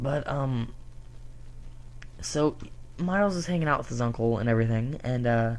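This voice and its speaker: With ordinary pitch variation, a man talks through long, frequent pauses amid audible room echo. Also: medium pitch for a man, moderate pace. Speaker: comic book reviewer. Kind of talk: casual review monologue. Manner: halting, stuttering.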